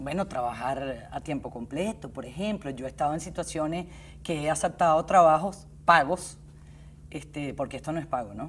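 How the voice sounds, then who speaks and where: In a Caracas accent, the speaker talks at a moderate pace with ordinary pitch variation and big swings in loudness. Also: woman, very deep, low pitch for a woman. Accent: Caracas Venezuelan. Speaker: election organizer, volunteer. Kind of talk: interview.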